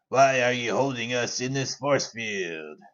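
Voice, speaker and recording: A man uses a put-on character voice at medium pitch, speaking at a fairly slow pace. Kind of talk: comic overacting. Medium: actual play. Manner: haughty, self-important.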